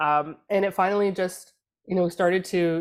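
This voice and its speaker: In a very clean recording with a silent background, a woman has a plain, everyday voice with a Canadian accent, fairly low pitch, ordinary pitch variation and a moderate pace. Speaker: political communications consultant. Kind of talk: casual panel discussion.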